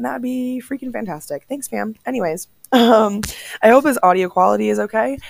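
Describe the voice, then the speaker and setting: Her pace is fairly quick. This woman's pitch rises and falls across a very wide range. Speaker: podcast host. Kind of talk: casual chat. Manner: casual, many filler ums.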